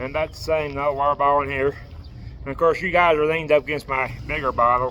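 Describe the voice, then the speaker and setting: Talking at a very fast pace in a monotone, flat intonation, a man with a fairly high pitch is heard over noticeable background noise. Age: 40s. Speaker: homeless traveler vlogger. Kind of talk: casual vlog showing gear. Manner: stutters; casual, hesitant.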